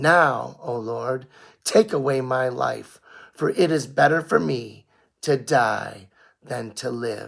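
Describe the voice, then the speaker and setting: A man puts on a raspy character voice at a medium pitch with lively intonation. He speaks at a very slow pace. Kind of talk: scripture reading. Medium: read story. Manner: measured, reverent.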